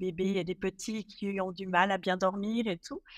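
A woman speaks at medium pitch in a normal speaking voice. The recording is very clean with a silent background, and the sound is dry and close with no echo. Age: 40s. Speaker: professional home organizer. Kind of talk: casual interview chat.

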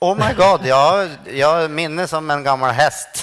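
A man's fairly high-pitched voice against a quiet background. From Sweden. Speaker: stand-up comedian. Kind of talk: lecture. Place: stage. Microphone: headset.

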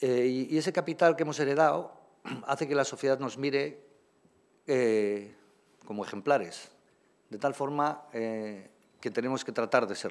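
Long, frequent pauses break up a moderately paced delivery whose pitch varies in an ordinary way. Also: man. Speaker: anesthesiologist; speaker. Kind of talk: ceremonial speech. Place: hall. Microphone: podium.

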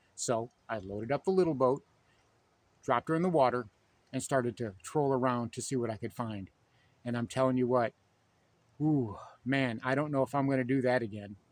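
A man at a fairly quick pace with ordinary pitch variation, in a dry sound with no echo. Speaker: fishing channel host. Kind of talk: casual vlog chat. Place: waterside. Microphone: phone near.

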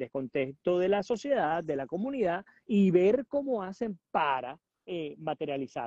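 A man talks at a fairly slow pace. The sound is dry with no echo and the background is quiet. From Venezuela, Puerto Ordaz; Venezuela. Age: 40s. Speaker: journalist and political analyst; journalist, political analyst. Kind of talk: interview. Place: garden. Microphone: earbuds.

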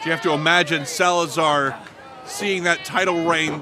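Music plays in the background as a man speaks at a fairly slow pace. His pitch is high. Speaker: wrestling commentator. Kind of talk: live wrestling commentary, play-by-play call. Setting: outdoors, at ringside before a live crowd.

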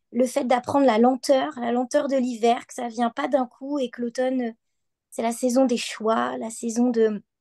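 A woman's high-pitched voice with a dark, mellow tone, dry and close with no echo, over a quiet background. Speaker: equine-assisted practitioner. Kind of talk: online panel discussion. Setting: video call from bed.

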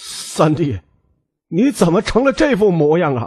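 A man's put-on character voice, high-pitched and shaky, with very wide pitch swings at a fairly slow pace. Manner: trembling, shaken.

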